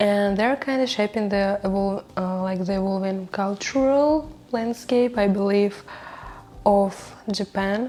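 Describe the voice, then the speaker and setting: A woman speaks very slowly with a non-native accent. Her pitch varies in an ordinary way. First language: not English. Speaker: video creator. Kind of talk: casual talk to camera. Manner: halting, with fillers.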